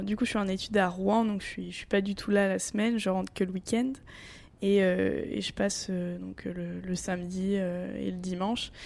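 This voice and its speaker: A very clean recording, silent background, and a woman's voice at a moderate pace. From Normandy, France. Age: 20s. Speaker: family caregiver and student athlete. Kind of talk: interview. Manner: halting, repeats words.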